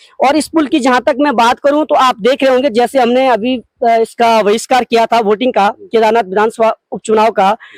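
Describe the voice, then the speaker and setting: In a dry, close sound with no echo, a man with an extremely high pitch talks at a moderate pace with ordinary pitch variation, very even loudness and hardly any pauses. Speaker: local public representative. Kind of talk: on-site interview.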